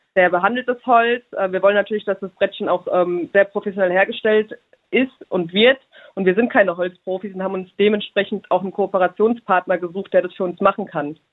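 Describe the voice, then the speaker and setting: With a plain, everyday voice, a woman talks at a fairly quick pace in a medium pitch with fairly even intonation. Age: 30s. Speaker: small business owner. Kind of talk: interview.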